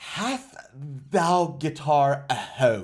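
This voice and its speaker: The voice is a raspy, put-on character voice. It sits at a low-to-middle pitch. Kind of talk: posh, formal, old-fashioned phrasing.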